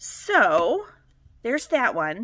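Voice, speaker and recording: A woman speaks with a Michigan accent. Her tone is bright and sharp. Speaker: cross-stitch vlogger. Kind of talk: casual chat.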